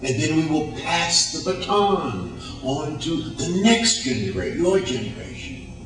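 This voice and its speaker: A man with a fairly high pitch speaks at a fairly slow pace, with very wide pitch swings and hardly any pauses. Audible room echo and noticeable background noise are present. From United States. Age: 60s. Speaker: motivational speaker. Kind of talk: motivational speech. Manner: animated.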